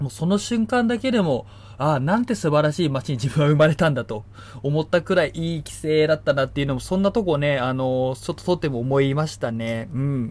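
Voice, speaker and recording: In a plain, everyday voice, a man talks fairly quickly at a fairly high pitch with lively intonation. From Niigata, Japan. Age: 30s. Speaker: podcast host. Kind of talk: casual solo talk. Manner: many fillers.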